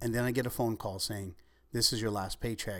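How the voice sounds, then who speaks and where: In a very clean recording with a silent background, a man talks at a fairly quick pace at a medium pitch, with an unremarkable speaking voice. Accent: American. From Ventura County, California. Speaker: entrepreneur. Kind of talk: interview.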